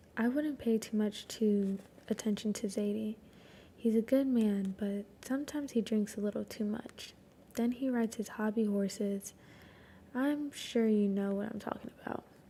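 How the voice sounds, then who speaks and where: The voice whispers quietly and somewhat breathily at a moderate pace. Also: woman. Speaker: streamer. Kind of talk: reading aloud. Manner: alternating whisper and quiet voice.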